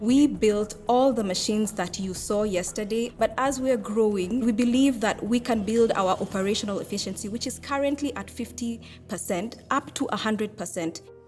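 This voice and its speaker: Over noticeable background noise, a woman with a fairly high pitch and ordinary pitch variation speaks at a moderate pace with hardly any pauses. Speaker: entrepreneur pitching to judges. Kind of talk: pitch Q&A with judges. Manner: loud.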